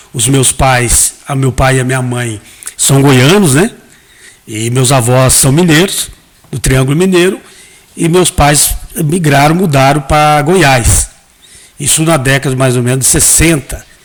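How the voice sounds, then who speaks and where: The speaker goes at a fairly slow pace with long, frequent pauses and ordinary pitch variation, amid noticeable background noise. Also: man, fairly high pitch for a man. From Brazil, Mato Grosso. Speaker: pastor and hairdresser. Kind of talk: interview, testimony.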